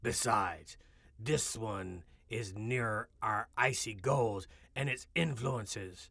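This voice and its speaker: A raspy, put-on character voice from a man, medium in pitch and fairly slow, over a very clean recording with a silent background. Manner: earnest, hushed.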